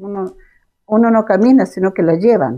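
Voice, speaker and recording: Her medium-pitched voice has a dark, mellow tone, and this woman speaks with lively intonation. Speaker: retired hospital administrator. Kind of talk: casual chat.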